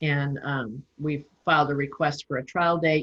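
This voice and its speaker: A woman speaks with a very deep, low pitch in a somewhat breathy voice and monotone, flat intonation. The sound is dry and close, with no echo. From Northern California. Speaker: legal document instructor. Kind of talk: online class.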